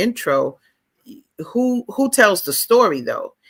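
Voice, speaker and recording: With a New York accent, a woman speaks in an animated tone at a fairly slow pace. Her pitch swings very widely. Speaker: author and book fair founder. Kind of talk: casual chat. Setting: live stream.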